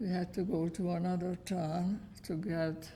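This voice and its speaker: The delivery is fairly slow and somewhat breathy. The tone is dark and mellow. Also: woman. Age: 90s. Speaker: Holocaust survivor. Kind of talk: testimony. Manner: terse.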